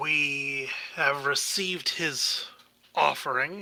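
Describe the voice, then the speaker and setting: A raspy, put-on character voice from a man, fairly high in pitch, at a very slow pace. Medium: actual play. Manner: archaic, sardonic.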